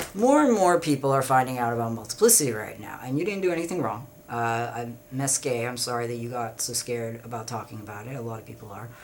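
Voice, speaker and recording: Over noticeable background noise, a man rushes along at a very fast pace with hardly any pauses, ordinary pitch variation and big swings in loudness. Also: medium pitch for a man. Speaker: vlogger. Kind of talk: casual monologue. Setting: at home. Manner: halting, many fillers.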